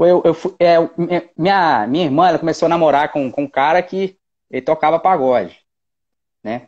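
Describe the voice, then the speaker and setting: Moderate pace and ordinary pitch variation, with long, frequent pauses over a quiet background. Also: man, fairly high pitch for a man. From Minas Gerais, Belo Horizonte. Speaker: percussionist; guest. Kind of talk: casual chat. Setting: video call. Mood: relaxed, smiling. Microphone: earbuds.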